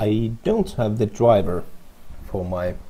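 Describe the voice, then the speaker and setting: A man talks with a non-native accent. His pitch is fairly low. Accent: non-native English, trouble with some words. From Finland. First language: Finnish. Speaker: software developer. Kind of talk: coding screencast tutorial. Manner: casual, halting with fillers and restarts.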